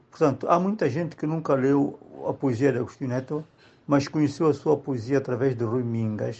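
A man's fairly high, ordinary speaking voice, with ordinary pitch variation and a moderate pace. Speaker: writer. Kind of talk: tribute testimony.

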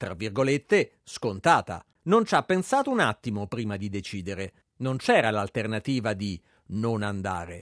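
Very wide pitch swings mark this man's speech at a moderate pace. The sound is dry and close with no echo, over a quiet background. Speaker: podcast narrator. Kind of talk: scripted narration.

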